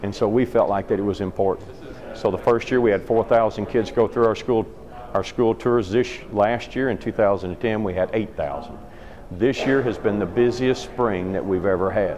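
Noticeable background noise sits behind a man's voice. He speaks at a moderate pace with fairly even intonation. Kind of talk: interview answer. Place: hall. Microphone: phone near.

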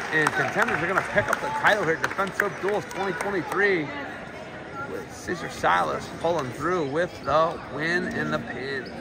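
With crowd noise in the background, a man speaks fairly slowly at a high pitch. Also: ordinary pitch variation. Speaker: wrestling commentator. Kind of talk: live commentary. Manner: excitable.

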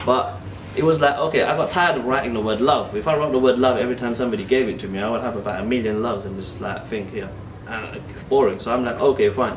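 A man with a London accent talks very fast with hardly any pauses. His pitch varies in an ordinary way over noticeable background noise. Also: medium pitch for a man. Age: 30s. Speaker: artist. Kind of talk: documentary interview. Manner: talkative.

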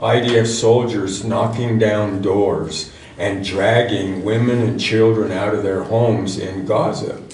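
Audible room echo surrounds a man who speaks at a very slow pace. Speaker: teacher at a congregation. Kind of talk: sermon. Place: church. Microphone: camera far.

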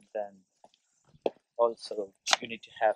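A man talks over noticeable background noise, the sound dry with no echo. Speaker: vlogger. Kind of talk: casual vlog. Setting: waiting at a bus stop. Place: street. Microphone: phone near.

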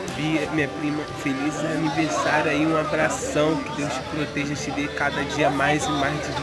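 The talking moves at a moderate pace beneath loud music in the background. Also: man. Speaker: vlogger. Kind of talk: casual vlog chat. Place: street. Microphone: phone near.

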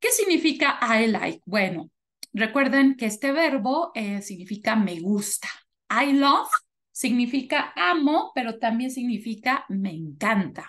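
With an ordinary speaking voice, a woman talks at a fairly slow pace and a fairly high pitch with lively intonation. There is light background noise. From Mexico, Toluca; Mexico. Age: 30s. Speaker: English teacher. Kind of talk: online class lesson, bilingual English/Spanish. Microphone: video call.

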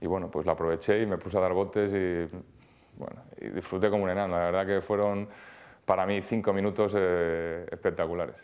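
A man talks at a fairly quick pace with a very deep, low pitch and monotone, flat intonation. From Spain. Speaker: handball goalkeeper. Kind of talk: interview; interview answer. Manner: hesitant, many fillers. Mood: calm, reflective. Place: studio. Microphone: lapel.

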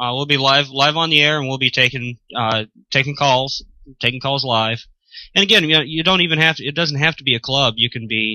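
A man talks at a fairly quick pace with medium pitch and ordinary pitch variation. The sound is dry with no echo, and the background is quiet. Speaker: show crew member; remote ham radio co-host. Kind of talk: casual chat. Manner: enthusiastic. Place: home room. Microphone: studio mic.

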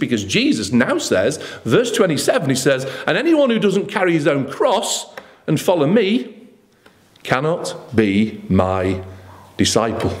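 A man speaks at a fairly slow pace. His fairly high pitch swings very widely.

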